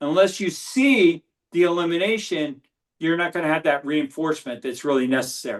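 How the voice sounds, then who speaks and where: Intonation is lively, and the delivery comes at a fairly quick pace. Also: man, fairly high pitch for a man. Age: 60s. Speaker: medical doctor. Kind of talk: interview. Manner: halting, many fillers.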